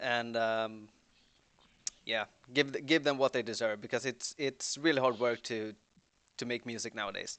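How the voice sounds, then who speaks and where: In a Swedish accent, a man talks at a moderate pace and medium pitch. His intonation is fairly even, broken by long, frequent pauses. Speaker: band member. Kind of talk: livestream Q&A chat.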